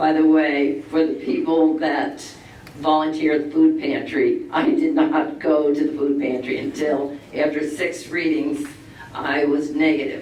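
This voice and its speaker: Noticeable background noise and audible room echo fill the recording. A man talks at a fairly slow pace. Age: 70s. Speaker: resident speaking at public comment. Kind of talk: public comment at town board meeting.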